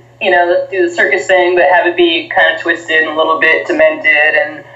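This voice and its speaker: A woman at medium pitch amid noticeable background noise. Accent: American. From New Jersey, US. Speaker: professional wrestler. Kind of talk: casual interview.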